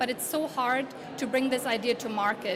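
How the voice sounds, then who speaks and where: A woman with a German accent speaks at a high pitch and a fairly quick pace, with fairly even intonation. Noticeable background noise and audible room echo are present. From Germany. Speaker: conference speaker. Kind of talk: conference presentation. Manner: halting.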